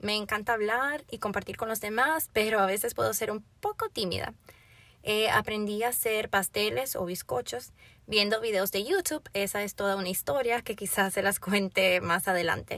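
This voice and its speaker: In a very clean recording with a silent background, a woman of medium pitch speaks at a moderate pace with ordinary pitch variation and a bright, sharp tone. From Florida, Dominican family. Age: young. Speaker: podcast host and youth pastor. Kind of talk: personal introduction monologue.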